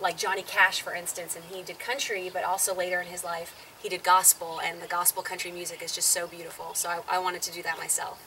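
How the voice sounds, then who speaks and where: A woman at medium pitch speaks very fast with a slight Southern US accent and hardly any pauses, in a monotone, flat intonation. Her loudness swings widely over noticeable background noise. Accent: slight Southern twang. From Southern California. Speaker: singer and ministry show co-host. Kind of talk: interview.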